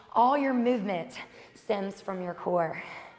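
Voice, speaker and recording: Speaking at a fairly slow pace, a woman sounds energetic, with lively intonation over noticeable background noise. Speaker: fitness instructor. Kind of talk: workout instruction. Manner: energetic, encouraging.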